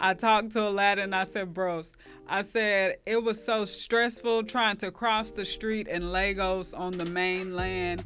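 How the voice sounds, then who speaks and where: Over background music, a woman with an American accent speaks at a medium pitch and a fairly slow pace. Her tone is animated, with hardly any pauses. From US South, Dallas suburbs, Texas. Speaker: podcast host. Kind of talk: casual chat. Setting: live stream.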